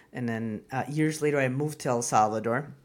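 In a Spanish accent, the speaker moves at a fairly quick pace on a very clean recording with a silent background. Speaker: comedian and business owner. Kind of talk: casual interview chat.

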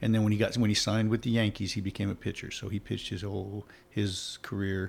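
A man speaks at a fairly quick pace in a plain, everyday voice. His pitch sits fairly low. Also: very clean recording, silent background. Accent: American. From Oregon, US. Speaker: former baseball player. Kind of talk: casual chat.

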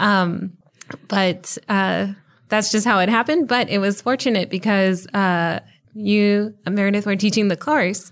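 A plain, everyday voice with an American accent comes through a very clean recording with a silent background, at a fairly slow pace with very even loudness and ordinary pitch variation. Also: woman, medium pitch for a woman. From El Paso, Texas. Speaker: professor. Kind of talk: interview conversation.

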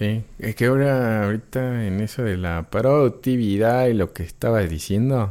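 A man's medium-pitched voice with a dark, mellow tone and hardly any pauses, on a very clean recording against a silent background. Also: ordinary pitch variation, moderate pace. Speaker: podcast co-host. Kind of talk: casual chat.

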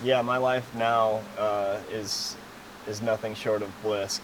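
Noticeable background noise beneath a fairly low-pitched male voice. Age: 30s. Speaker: professional off-road racer. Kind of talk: casual interview. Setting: race shop.

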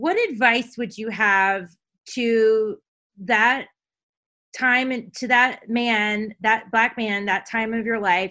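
Loud and very slow, a woman with an American accent talks in a fairly high, bright, sharp voice with fairly even intonation and long, frequent pauses, on a very clean recording with a silent background. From Caribbean (US Virgin Islands). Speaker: podcast host. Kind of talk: interview conversation. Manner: loud, gregarious.

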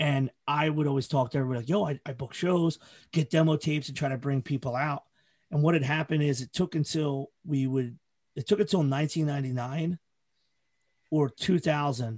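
An American-accented man's fairly high, somewhat breathy voice at a moderate pace, with fairly even intonation, a dry, close sound with no echo, and a quiet background. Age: 40s. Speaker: hardcore festival organizer and podcaster. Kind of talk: casual chat.

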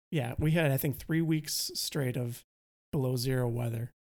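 With a Wisconsin accent, a man talks at a medium pitch and fairly even intonation. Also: long, frequent pauses. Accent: Wisconsin Midwestern. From Wisconsin, US Midwest.

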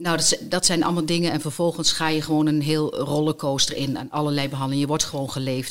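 Speech comes at a very fast pace in a monotone, flat intonation. Noticeable background noise runs underneath. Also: woman. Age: 50s. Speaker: cancer survivor and volunteer hostess. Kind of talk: personal testimony. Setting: studio.

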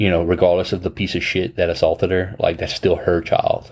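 With a Louisiana accent, a man speaks. His pace is fairly quick. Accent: Louisiana Southern US. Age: 30s. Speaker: podcast host. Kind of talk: casual chat. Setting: video call.

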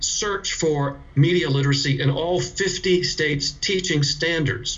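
Speaking at a fairly slow pace with an American accent, a man with a fairly high pitch and ordinary pitch variation is heard amid noticeable background noise and audible room echo. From US South, South Carolina. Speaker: media literacy educator and author. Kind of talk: interview.

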